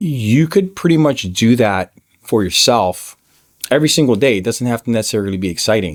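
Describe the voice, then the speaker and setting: At a fairly quick pace, a man's medium-pitched voice swings very widely up and down. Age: 40s. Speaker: filmmaker. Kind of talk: casual talk to camera.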